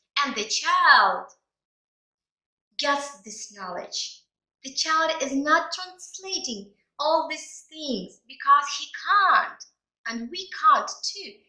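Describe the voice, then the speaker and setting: A woman with a Ukrainian accent speaks in a raised, projected voice at an extremely high pitch and a very slow pace, her pitch swinging very widely and her loudness rising and falling sharply between long, frequent pauses. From Ukraine. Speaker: English teacher. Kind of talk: language lesson. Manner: animated.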